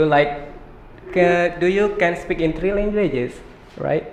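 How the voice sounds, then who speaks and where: A high-pitched man with an Indonesian accent. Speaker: podcast host. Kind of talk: interview.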